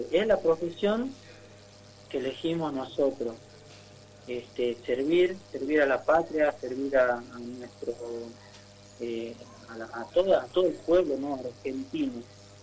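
A man with a fairly high pitch speaks very slowly, with long, frequent pauses, big swings in loudness and ordinary pitch variation. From northern Argentina (Tartagal, Salta). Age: 20s. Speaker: musician and soldier. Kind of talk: radio interview. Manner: halting.

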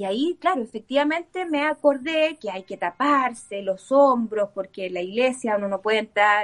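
With a Chilean accent, a woman speaks at a moderate pace with hardly any pauses and lively intonation. Her pitch is fairly high, and the sound is dry and close with no echo. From Chile (born in Antofagasta). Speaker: author and former political staffer. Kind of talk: casual interview.

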